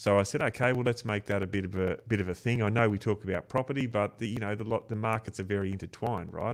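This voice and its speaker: Speaking at a very fast pace in a fairly low pitch, a man with an Australian accent comes through on a very clean recording with a silent background. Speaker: podcast host. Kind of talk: casual interview chat. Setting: live video stream.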